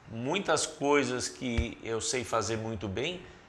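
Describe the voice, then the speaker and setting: With music in the background and audible room echo, a man speaks with ordinary pitch variation. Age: 60s. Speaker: senior executive consultant. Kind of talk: casual chat.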